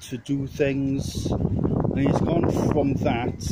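A man speaks in a dark, mellow tone that is somewhat breathy. Light background noise is present. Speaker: vlogger. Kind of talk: casual vlog chat. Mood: upset, reflective about his father. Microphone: phone near.

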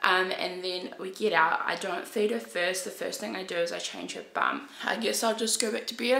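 A woman with vocal fry and a bright, sharp tone speaks over faint background noise.

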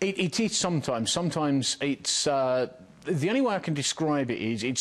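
This is a plain, everyday voice, moving at a fairly quick speed with ordinary pitch variation. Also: man. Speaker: world record fast talker. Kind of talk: TV interview. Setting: TV studio.

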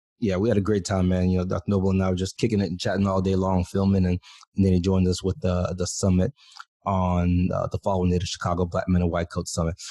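A man talks at a very fast pace in a very deep, low, dark, mellow voice with monotone, flat intonation and very even loudness. The sound is dry with no echo over a quiet background. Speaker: podcast host. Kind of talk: casual podcast intro chat. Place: home room. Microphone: studio mic.

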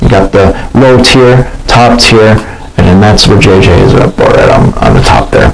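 A man at a fairly low pitch with vocal fry, very wide pitch swings and a fairly slow pace, over faint background noise

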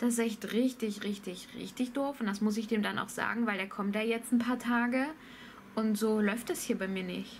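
A woman talks at a moderate pace with fairly even intonation. Her voice is somewhat breathy over light background noise. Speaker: vlogger. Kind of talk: casual vlog chat. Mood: annoyed at late tiler. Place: home room. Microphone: phone near.

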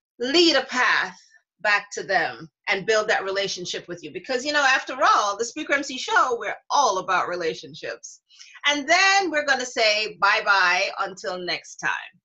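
Over a quiet background, a woman talks at a moderate pace with very wide pitch swings. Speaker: show host. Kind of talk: online show presentation. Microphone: webcam.

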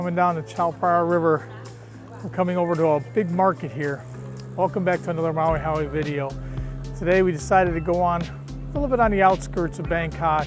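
A man's voice, high for a man, with ordinary pitch variation, dry sound with no echo, and clear music in the background. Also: fairly quick pace. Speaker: travel vlogger. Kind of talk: casual vlog chat. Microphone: phone near.

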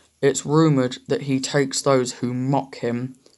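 This unforced reading voice holds a fairly even intonation.

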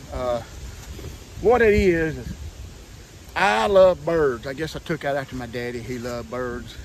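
A man talks with lively intonation in a Southern US accent. The sound is dry with no echo, and there is light background noise. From Southern United States. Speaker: comedic hillbilly character. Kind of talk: casual talk to camera. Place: forest. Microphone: phone near.

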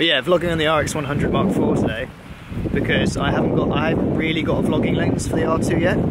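Loud background noise sits under the speech. The pace is moderate, and the sound is dry with no echo. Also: man. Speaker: travel vlogger. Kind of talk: casual vlog chat. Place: open country. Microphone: phone near.

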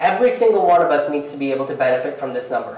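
Audible room echo follows a man as he speaks. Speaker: stand-up comedian. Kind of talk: live stand-up comedy set with earnest, hopeful closing message. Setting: theatre stage with live audience. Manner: conversational, repeats words and restarts sentences while building bits; shifts from wry punchlines to sincere, uplifting tone. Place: stage.

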